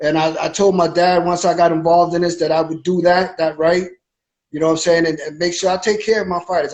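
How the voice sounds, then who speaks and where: A man talks at a very fast pace in a high pitch, with monotone, flat intonation. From Massachusetts (Brockton). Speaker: boxing promoter. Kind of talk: interview.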